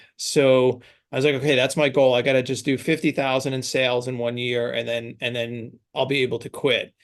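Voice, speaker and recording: Over a quiet background, a man with a slight New York accent speaks at medium pitch in a monotone, flat intonation at a fairly quick pace with hardly any pauses. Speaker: branding agency founder. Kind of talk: podcast interview.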